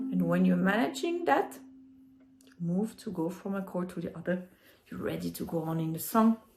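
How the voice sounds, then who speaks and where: A woman with a strong French accent at a moderate pace, with long, frequent pauses. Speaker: ukulele teacher. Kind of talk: music tutorial explanation.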